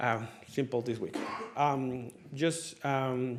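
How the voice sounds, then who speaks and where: A man with a non-native accent speaks at a medium pitch. There is audible room echo. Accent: foreign. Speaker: city staff member reporting on business licensing. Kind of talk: council work session report. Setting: city council meeting. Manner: hesitant, many fillers.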